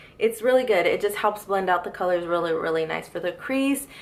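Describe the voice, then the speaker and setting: With noticeable background noise, a woman speaks with ordinary pitch variation. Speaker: beauty vlogger. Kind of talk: casual makeup favorites talk.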